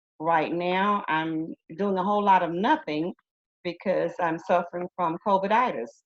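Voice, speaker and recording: In an Alabama accent, a woman speaks at a fairly slow pace with a fairly low pitch and ordinary pitch variation. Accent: Southern US (Alabama). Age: 60s. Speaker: retired teacher. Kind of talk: interview. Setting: video call.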